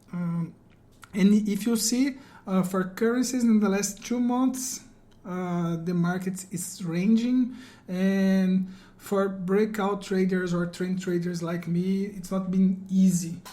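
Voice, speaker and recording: The speech comes very slowly in a Brazilian Portuguese accent. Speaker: forex trader and trading educator. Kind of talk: market analysis tutorial. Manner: halting, many fillers.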